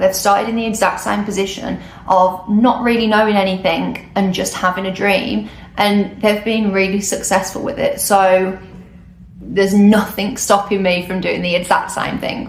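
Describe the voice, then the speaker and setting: With a British accent, a woman speaks at a moderate pace and medium pitch in a monotone, flat way, with audible room echo and noticeable background noise. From UK. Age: 20s. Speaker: travel vlogger. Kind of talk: casual vlog monologue. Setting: recording alone on camera. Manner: hesitant, unscripted.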